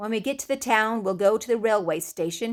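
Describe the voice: This is plain reading aloud delivered with fairly even intonation.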